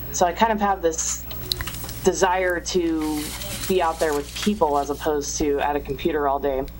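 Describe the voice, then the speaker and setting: Over noticeable background noise, a woman with a very deep, low voice speaks at a moderate pace with ordinary pitch variation. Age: 30s. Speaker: magazine writer. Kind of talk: casual chat.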